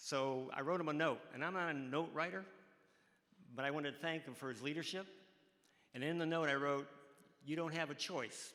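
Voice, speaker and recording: Bright and sharp in tone, this voice carries a US Midwestern accent with audible room echo around it. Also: man. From Ohio, Cleveland. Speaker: college track coach, hall of fame inductee. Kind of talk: interview on stage. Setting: stage with audience. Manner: halting.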